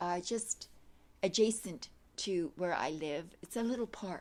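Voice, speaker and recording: In a very clean recording with a silent background, a woman with a medium-pitched voice speaks fairly slowly with lively intonation. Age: 60s. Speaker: yoga instructor. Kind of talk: casual introduction to a video class. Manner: hesitant, many fillers.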